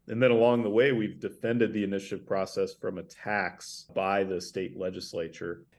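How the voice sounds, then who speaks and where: A man with an American accent speaks at a moderate pace in monotone, flat intonation. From northern Idaho, US. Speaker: grassroots organizer, nonprofit director. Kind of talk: interview.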